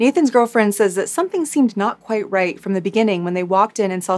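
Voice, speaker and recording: Her voice carries a serious tone at a medium pitch, as a woman speaks. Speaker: true crime YouTuber. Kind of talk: true-crime narration, scripted storytelling recap. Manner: measured, serious storyteller with light chatty asides. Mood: calm, serious storytelling. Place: home room.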